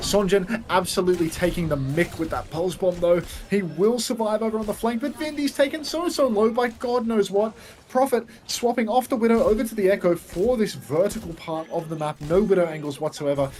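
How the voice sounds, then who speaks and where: The talking moves at a fairly quick pace against noticeable background noise. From Australia. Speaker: esports caster and streamer. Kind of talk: live commentary. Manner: animated.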